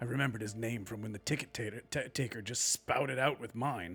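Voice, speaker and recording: Using a raspy, put-on character voice, a man speaks at a moderate pace as faint music plays in the background. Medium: actual play. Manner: quiet, earnest, somewhat melancholy.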